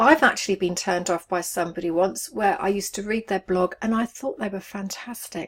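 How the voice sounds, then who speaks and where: Speaking at a fairly quick pace, a woman with an English accent uses a medium pitch. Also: ordinary pitch variation, hardly any pauses. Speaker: online business coach. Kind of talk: video tutorial to camera.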